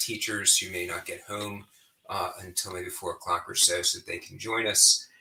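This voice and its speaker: A man is speaking. His pace is moderate. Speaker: state legislator. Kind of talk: livestreamed policy update. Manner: hesitant, many fillers.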